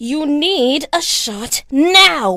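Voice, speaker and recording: Growling in a cartoonish character voice, a woman speaks high-pitched with very wide pitch swings. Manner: sweet, smiling, eerie.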